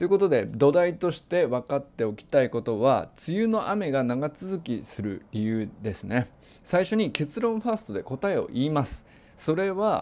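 His voice sits fairly high for a man, and this male speaker's pitch ranges very widely as he talks at a moderate pace. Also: very clean recording, silent background. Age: 40s. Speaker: meteorologist. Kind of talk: lecture. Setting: lecture event.

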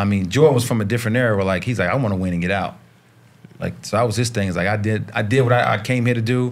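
Speaking very fast with an American accent, this man has a fairly low voice and ordinary pitch variation. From US South, Charlotte, North Carolina. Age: 50s. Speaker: basketball coach and former pro player. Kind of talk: casual chat. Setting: studio.

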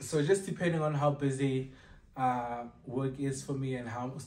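A man speaks in a somewhat breathy voice. Audible room echo is present. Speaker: vlogger. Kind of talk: casual vlog chat. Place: home room. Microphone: camera far.

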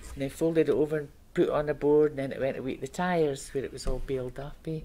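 Talking at a very fast pace with a Scottish accent, a woman uses a very deep, low pitch with a dark, mellow tone and monotone, flat intonation. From Scotland. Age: 70s. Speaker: retired paper mill worker, oral history interviewee. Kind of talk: oral history interview answer. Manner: conversational, reminiscing. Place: meeting room.

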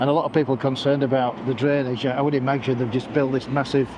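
Noticeable background noise runs behind a man's voice. The sound is dry, with no echo. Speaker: vlogger. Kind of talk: casual vlog chat. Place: street. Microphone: lapel.

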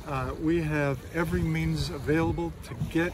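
A man's voice at a fairly slow pace, dry with no echo, over noticeable background noise. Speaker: pastor. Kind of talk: sermon. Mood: warm, encouraging. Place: beach.

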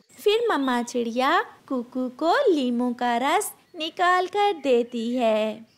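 The speech moves at a slow pace with lively intonation. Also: woman, high pitch for a woman.

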